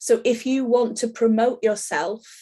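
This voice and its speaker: A woman with a strong Yorkshire accent, fairly high pitch, dark, mellow tone, monotone, flat intonation and a fairly slow pace. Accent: broad Yorkshire. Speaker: soap making teacher. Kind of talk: online class tutorial.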